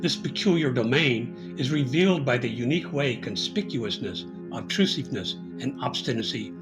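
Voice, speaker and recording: Music plays in the background as the speaker talks at a moderate pace in a Midwestern accent. The pitch swings very widely. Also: man. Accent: American Midwestern. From US Midwest. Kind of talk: philosophy video essay narration.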